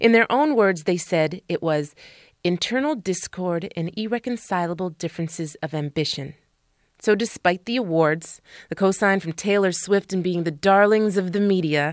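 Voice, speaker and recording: A woman's plain, everyday voice at medium pitch, with ordinary pitch variation, a moderate pace, and a dry, close sound with no echo. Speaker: radio host. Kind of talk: radio host aircheck, music introductions. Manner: polished, upbeat, conversational.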